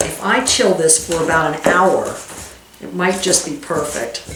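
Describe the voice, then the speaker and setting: Here a woman talks at a moderate pace. There is noticeable background noise and audible room echo. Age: 50s. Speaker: cooking channel host. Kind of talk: cooking tutorial. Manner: casual, chatty.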